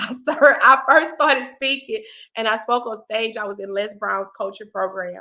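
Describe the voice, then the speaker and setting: A woman talks at a moderate pace in an animated, bright, sharp tone, her pitch fairly high with ordinary variation. Her loudness swings widely. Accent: Southern US. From US South. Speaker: talk show host and motivational speaker. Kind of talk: casual chat.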